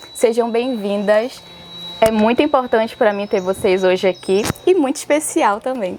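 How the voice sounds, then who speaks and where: With music in the background, a woman speaks at a moderate pace in a fairly high pitch with lively intonation. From Alter do Chão, Pará, Brazil. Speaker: podcast host, dancer and choreographer. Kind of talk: interview.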